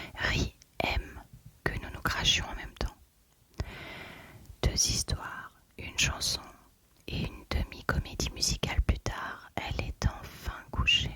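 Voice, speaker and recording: Whispering at a very slow pace, a woman leaves long, frequent pauses and makes big swings in loudness over noticeable background noise. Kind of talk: whispered audiobook reading for sleep. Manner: whispered, soft.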